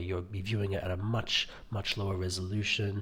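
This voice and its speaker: A somewhat breathy man's voice, fairly low in pitch, at a moderate pace. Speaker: tech reviewer. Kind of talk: product review video. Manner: monotone; quiet, hesitant with many fillers.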